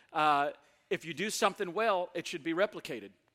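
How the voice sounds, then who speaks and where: A man with a Southern US accent, high-pitched and fairly quick, on a very clean recording with a silent background. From US South, Mississippi. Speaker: guest preacher. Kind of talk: sermon. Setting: church. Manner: animated.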